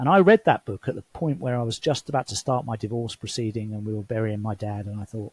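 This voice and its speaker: In a very clean recording with a silent background, a man speaks at a very fast pace and medium pitch with hardly any pauses, his somewhat breathy voice showing ordinary pitch variation in a dry, close sound with no echo. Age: 60s. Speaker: former CEO turned traveler. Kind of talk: interview conversation.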